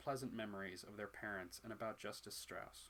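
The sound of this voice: Ordinary pitch variation in an unforced reading voice.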